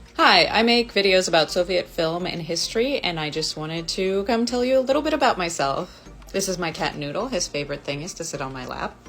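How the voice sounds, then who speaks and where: A woman speaks at a fairly quick pace and medium pitch, with very wide pitch swings. Music plays in the background. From Los Angeles, US (born Moscow, moved at 5). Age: 30s. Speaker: video creator and stand-up comedian. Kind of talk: casual personal talk to camera. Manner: casual, conversational.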